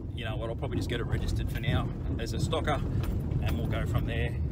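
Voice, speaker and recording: A man talks with a dry sound and no echo as music plays in the background. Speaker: car hobbyist vlogger. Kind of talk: casual vlog chat. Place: car. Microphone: phone near.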